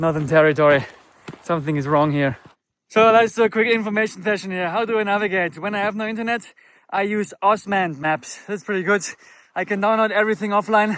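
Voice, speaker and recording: A man with a high pitch speaks at a very fast pace with ordinary pitch variation. The recording is very clean, with a silent background. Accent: German. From Germany. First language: German. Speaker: motorcycle travel vlogger. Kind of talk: travel vlog. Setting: outdoors.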